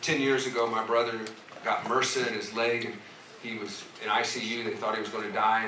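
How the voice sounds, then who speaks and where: Loud background noise and audible room echo surround the voice. The pace is fairly quick. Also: man. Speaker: pastor. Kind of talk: sermon. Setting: church with congregation. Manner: animated. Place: church.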